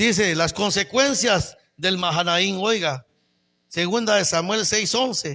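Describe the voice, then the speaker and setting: A man's raised, projected voice, high in pitch, bright and sharp in tone, with lively intonation at a fairly slow pace, on a very clean recording with a silent background. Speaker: pastor. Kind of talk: sermon. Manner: animated.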